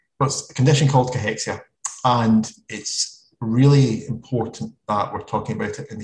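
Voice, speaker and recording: Somewhat breathy, a man speaks at a moderate pace with fairly even intonation. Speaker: consultant and academic in palliative medicine. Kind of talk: webinar presentation. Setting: online webinar.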